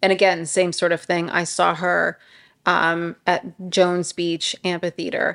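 With a New York accent, a woman at a fairly low pitch speaks at a fairly slow pace in a monotone, flat way. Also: quiet background. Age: 40s. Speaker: podcast co-host. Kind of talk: casual chat.

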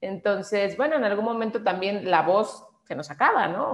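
A woman speaks with a Mexican accent. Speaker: voice actress. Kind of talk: interview.

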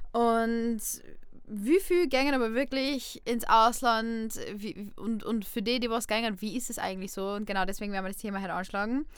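A woman with an unremarkable speaking voice, ordinary pitch variation and a moderate pace. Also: fairly high pitch for a woman. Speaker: student podcast host. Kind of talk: casual chat. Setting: studio.

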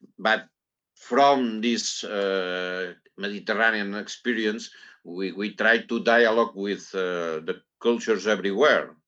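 With a Catalan accent, a man speaks fairly slowly at a fairly low pitch, his intonation fairly even. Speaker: poet. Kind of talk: interview. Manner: halting.

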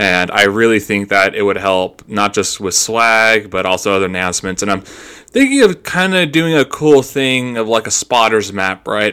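A man with an American accent has a bright, sharp tone and ordinary pitch variation. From United States. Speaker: podcast host. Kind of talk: casual chat. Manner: animated.

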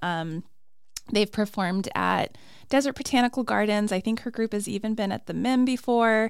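A woman talks at a fairly quick pace. She has an unremarkable speaking voice. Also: very clean recording, silent background. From Arizona (Flagstaff). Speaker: arts and culture coordinator. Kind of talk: casual interview. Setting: studio.

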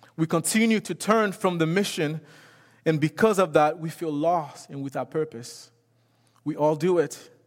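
This man's voice sits at a fairly high pitch, with ordinary pitch variation. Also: moderate pace. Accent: French. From Haiti. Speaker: missions director and guest preacher. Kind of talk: sermon. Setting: church.

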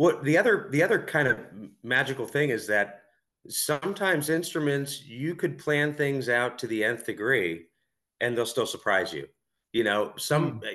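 A man with an unremarkable speaking voice talks at a medium pitch and a moderate pace. His intonation is lively, and the background is quiet. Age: 40s. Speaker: guitar maker. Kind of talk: casual interview.

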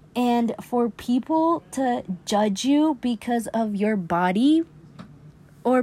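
A woman with an American accent speaks at a very slow pace, her pitch high and her intonation lively. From Utah. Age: 20s. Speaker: podcaster. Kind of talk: casual monologue. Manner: casual with code-switching to Spanish.

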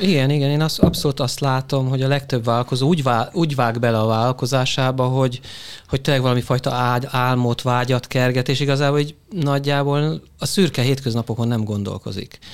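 A man speaks at a very fast pace and medium pitch. His intonation stays fairly even. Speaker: business consultant. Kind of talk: panel discussion.

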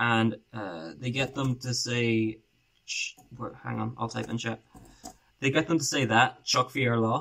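A man with a bright, sharp tone and medium pitch talks at a fairly slow pace, with ordinary pitch variation and long, frequent pauses. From Ireland. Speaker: podcast host, YouTuber. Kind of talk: casual chat.

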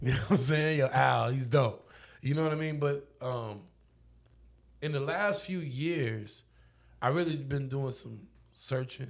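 Fairly slow, somewhat breathy speech with an American accent, long and frequent pauses, and ordinary pitch variation. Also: man, fairly high pitch for a man. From Oklahoma, Lawton. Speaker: DJ. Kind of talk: casual chat. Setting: home studio.

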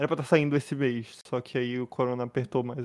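At a very fast pace, a man speaks at a medium pitch in a monotone, flat intonation. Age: young. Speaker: podcast co-host. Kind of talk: casual chat.

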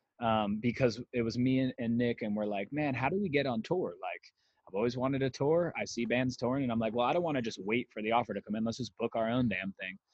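In a normal speaking voice, a man talks at a fairly quick pace in a medium pitch with ordinary pitch variation. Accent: American. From Las Vegas, Nevada. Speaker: musician. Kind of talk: casual chat.

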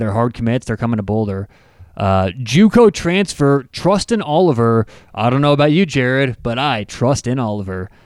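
On a very clean recording with a silent background and a dry, close sound with no echo, a man with an unremarkable speaking voice talks at a moderate pace with a medium pitch and lively intonation. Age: 30s. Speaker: sports podcast host. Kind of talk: casual sports chat.

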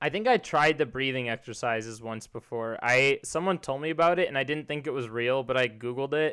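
With an American accent, a man speaks in an unremarkable speaking voice at a fairly quick pace, with hardly any pauses, medium pitch and ordinary pitch variation. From US Midwest, Chicago area. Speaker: podcast host. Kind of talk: casual chat.

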